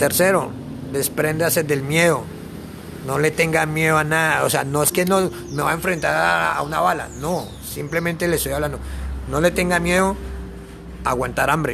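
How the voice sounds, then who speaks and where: Speaking at a moderate pace, a man leaves long, frequent pauses while audible room echo surrounds his words. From Colombia, Bogotá. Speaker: traveling backpacker. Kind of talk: interview.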